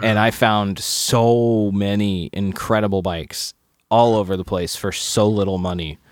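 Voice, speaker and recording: In a very clean recording with a silent background, a man with a plain, everyday voice speaks fairly slowly, his fairly low pitch carried by fairly even intonation. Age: 30s. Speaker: podcast guest, friend of host. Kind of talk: casual chat.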